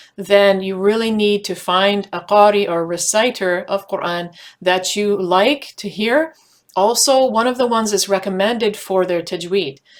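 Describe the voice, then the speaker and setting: A woman's medium-pitched voice, showing ordinary pitch variation, proceeds at a moderate pace. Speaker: Quran study teacher. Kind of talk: tutorial. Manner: casual, some hesitations.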